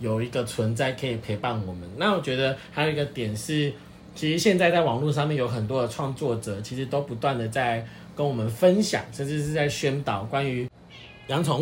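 Noticeable background noise sits behind the speech. The pace is moderate, with ordinary pitch variation. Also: man. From Taiwan, Pingtung. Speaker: podcast co-host, dog owner. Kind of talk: casual chat.

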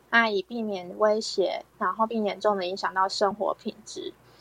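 In a dry, close sound with no echo, a woman with a normal speaking voice talks at a fairly slow pace and a fairly high pitch. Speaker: health educator hosting talk. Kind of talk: health education talk. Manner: many filler particles.

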